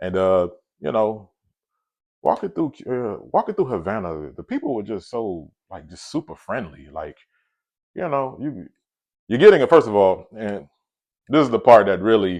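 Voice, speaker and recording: Against a quiet background, a man with an American accent speaks at a moderate pace and medium pitch, with lively intonation, big swings in loudness, and long, frequent pauses. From US South, Atlanta. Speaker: travel vlogger. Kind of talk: casual storytelling vlog. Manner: casual, many fillers and repetitions.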